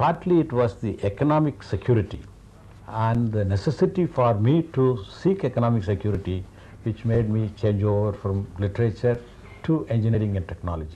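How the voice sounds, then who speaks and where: With a Tamil accent, a man at medium pitch talks at a fairly quick pace with lively intonation. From India, Tamil Nadu. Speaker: scientist and writer. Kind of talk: interview.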